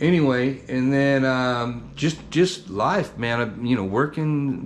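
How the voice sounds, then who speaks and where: Very slow delivery with ordinary pitch variation. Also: man. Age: 60s. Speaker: barbecue channel host. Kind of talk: casual vlog talk. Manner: casual, hesitant with fillers.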